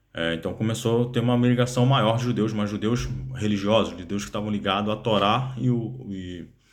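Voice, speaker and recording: Against music in the background and audible room echo, a man with a fairly low pitch speaks at a moderate pace with ordinary pitch variation. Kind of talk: casual explainer monologue. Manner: halting, many fillers.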